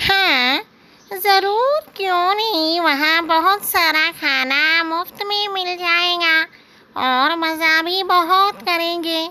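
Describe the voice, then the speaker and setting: A cartoonish character voice, female-sounding and pitched extremely high, carries the clip. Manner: brisk, practical.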